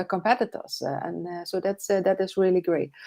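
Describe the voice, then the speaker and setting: A woman of medium pitch with a non-native accent speaks in a monotone, flat intonation against a quiet background. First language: not English. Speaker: online business coach, live show host. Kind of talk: live interview chat. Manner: halting, many fillers.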